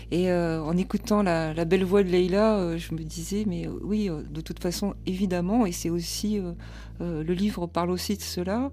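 Fairly slow speech with audible room echo. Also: woman. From France. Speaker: literature professor and author. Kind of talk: radio interview.

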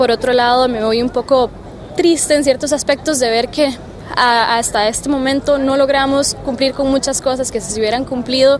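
Over noticeable background noise, a woman with a high voice talks at a fairly quick pace. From Costa Rica, San José. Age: 20s. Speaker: youth climate negotiator. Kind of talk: interview. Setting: conference venue.

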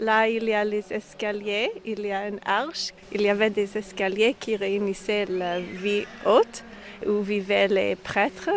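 A woman's medium-pitched, flat monotone at a very slow pace, with noticeable background noise. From Quebec (Montreal). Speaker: rabbi. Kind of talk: interview. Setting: outdoors.

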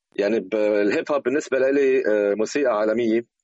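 A man with a medium pitch talks at a moderate pace with ordinary pitch variation, in a normal speaking voice. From Lebanon. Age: 40s. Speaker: hip hop DJ and producer. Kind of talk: interview.

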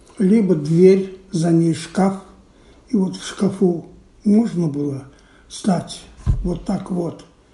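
A man's high-pitched voice, dark and mellow in tone, very slow with long, frequent pauses and fairly even intonation, in audible room echo. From Belarus, Minsk. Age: 80s+. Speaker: Holocaust survivor. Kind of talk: testimony.

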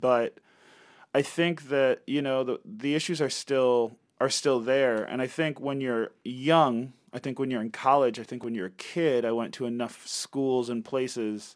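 Speaking very slowly with long, frequent pauses, a man keeps a medium pitch and a fairly even intonation. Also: very clean recording, silent background. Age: 30s. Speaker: singer and guitarist. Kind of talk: interview. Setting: studio.

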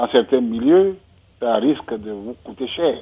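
His pitch variation is ordinary. A man talks at a very slow pace. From Benin. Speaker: writer. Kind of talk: radio discussion.

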